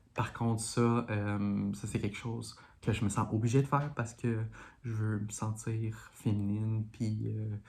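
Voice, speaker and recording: Soft-spoken, a woman talks in a very deep, low voice with monotone, flat intonation. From Montreal, Quebec. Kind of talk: casual talk to camera.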